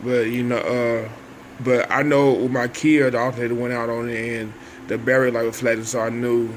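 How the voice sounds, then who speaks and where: Noticeable background noise accompanies a man with an American accent speaking at a fairly quick pace in a medium pitch with monotone, flat intonation. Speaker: vlogger. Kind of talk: casual monologue. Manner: halting.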